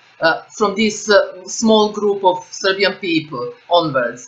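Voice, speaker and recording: A woman speaks at a moderate pace with lively intonation, and noticeable background noise can be heard. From Serbia. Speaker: interviewer. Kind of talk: interview question.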